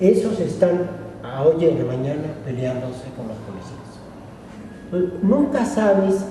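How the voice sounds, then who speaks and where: A man at a high pitch and fairly slow pace, with very wide pitch swings, big swings in loudness and long, frequent pauses, amid audible room echo and noticeable background noise. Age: 60s. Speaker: academic speaker at a colloquium. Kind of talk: lecture.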